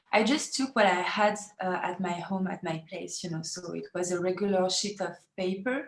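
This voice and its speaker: A woman speaks with a French accent. Her pitch is medium and her pace fairly slow. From France. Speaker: feminist activist. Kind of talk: interview. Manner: halting, many fillers.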